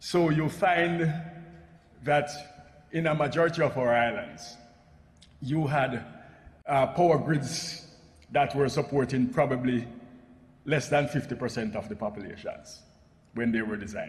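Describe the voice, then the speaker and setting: A man with a Jamaican accent talks at a fairly high pitch and a fairly slow pace, with ordinary pitch variation and long, frequent pauses. Background noise is noticeable, and room echo is audible. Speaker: energy policy expert, panel speaker. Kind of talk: conference presentation. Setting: parliamentary assembly plenary session. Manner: formal.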